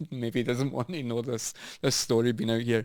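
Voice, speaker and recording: Speaking in a Scottish accent, a man keeps a moderate pace. His pitch is medium and his intonation fairly even. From Scotland. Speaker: business owner and former bartender. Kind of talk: casual chat.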